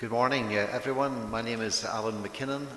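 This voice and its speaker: A man speaks in a Scottish accent at medium pitch. His pace is fairly quick, with noticeable background noise. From Scotland. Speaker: professor of logistics. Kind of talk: panel self-introduction.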